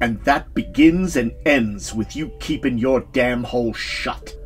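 In a put-on character voice at a fairly slow pace, the speaker talks over clear music in the background. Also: man, medium pitch for a man. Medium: read story. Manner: barking, curt, commanding.

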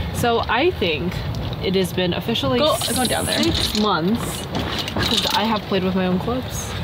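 Loud background noise sits behind speech delivered at a moderate pace. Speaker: golf vlogger. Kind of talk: casual vlog chat. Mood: cheerful, relaxed. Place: open country. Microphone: phone near.

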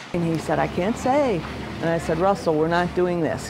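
Against noticeable background noise, a woman talks at a fairly low pitch. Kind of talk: interview answer. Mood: earnest, concerned. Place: shop.

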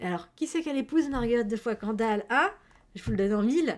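Loud and very fast, a woman talks in an animated tone with lively intonation. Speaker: streamer. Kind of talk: casual chat. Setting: livestream. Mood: playful, enthusiastic. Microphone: headset.

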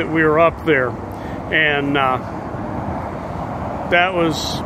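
Noticeable background noise accompanies a voice with ordinary pitch variation and a dry sound with no echo. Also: man. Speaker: recreational cyclist vlogger. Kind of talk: casual vlog chat. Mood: relaxed, chatty. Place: waterside. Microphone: phone near.

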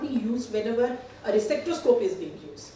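Over light background noise and audible room echo, a woman talks very fast in a high voice. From India. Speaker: gynecologist. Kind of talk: conference presentation. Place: hall. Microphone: camera far.

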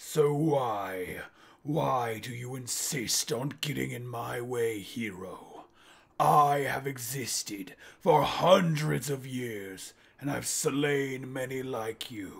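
A put-on, menacing character voice at a very slow pace, with big swings in loudness. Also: man. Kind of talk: villain monologue. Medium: solo performance. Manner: grandiose, menacing, contemptuous.

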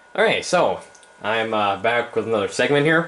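The pace is moderate. The intonation is lively. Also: man. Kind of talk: tutorial. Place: classroom. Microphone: camera far.

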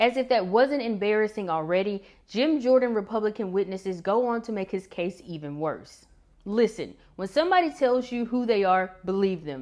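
Against a quiet background, a woman speaks at a moderate pace with a fairly high pitch and lively intonation. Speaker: news commentator. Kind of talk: scripted narration. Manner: formal. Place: home room. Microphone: lapel.

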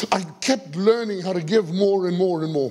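This man has a high-pitched voice. He speaks at a moderate pace. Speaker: pastor. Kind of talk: sermon. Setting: church. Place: church. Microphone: headset.

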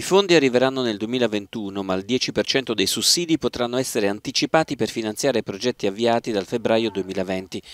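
An unremarkable speaking voice moves at a fairly quick pace with hardly any pauses and ordinary pitch variation, in a dry, close sound with no echo. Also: man, medium pitch for a man. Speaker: news reporter. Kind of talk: news reading. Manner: formal.

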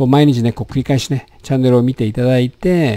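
A man's dark, mellow voice at a fairly quick pace, set against a quiet background. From Japan. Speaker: doctor; health channel host. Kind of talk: health education talk with slides. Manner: casual, many filler words. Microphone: studio mic.

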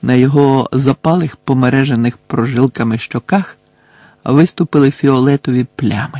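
The speaker reads aloud plainly, keeping the intonation fairly even.

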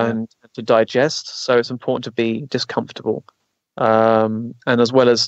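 A man speaks at a medium pitch. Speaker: physical mediumship circle host and consciousness retreat leader. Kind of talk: casual conversational talk on a radio show interview.

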